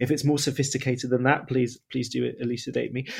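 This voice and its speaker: A man speaks in a plain, everyday voice at medium pitch. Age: 30s. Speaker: podcast host. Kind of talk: casual chat. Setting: remote recording.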